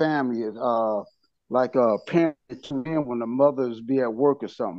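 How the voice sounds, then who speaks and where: Against a quiet background, a man speaks at a moderate pace. His pitch variation is ordinary. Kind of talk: support group sharing. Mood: reflective, earnest. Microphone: video call.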